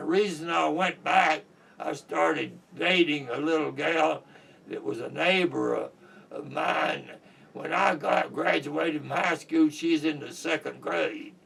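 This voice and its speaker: A man speaks at a fairly slow pace in an American accent, his loudness swinging widely. Noticeable background noise sits under the recording. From Kentucky. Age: 80s+. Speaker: war veteran. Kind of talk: oral history interview.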